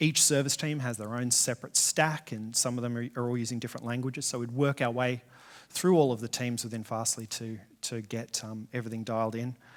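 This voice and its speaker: Fairly quick pace with fairly even intonation. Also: man, medium pitch for a man. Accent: Australian. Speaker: software engineer, conference speaker. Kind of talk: conference talk. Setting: stage with audience.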